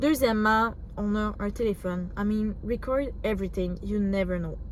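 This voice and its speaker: A woman with a fairly high pitch and ordinary pitch variation speaks at a fairly slow pace, with audible room echo. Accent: Quebec. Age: 20s. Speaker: vlogger, student bodybuilder. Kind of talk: casual vlog talk to camera. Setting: gym. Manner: hesitant, filler words.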